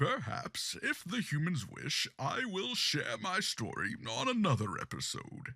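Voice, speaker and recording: Put-on character voice from a man, with very wide pitch swings, a fairly slow pace and hardly any pauses. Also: fairly high pitch for a man. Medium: audio drama. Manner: stately, theatrical.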